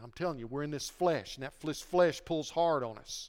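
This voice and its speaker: A man with a plain, everyday voice and a fairly high pitch talks at a moderate pace with ordinary pitch variation in a very clean recording over a silent background. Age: 60s. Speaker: pastor. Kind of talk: sermon. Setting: church.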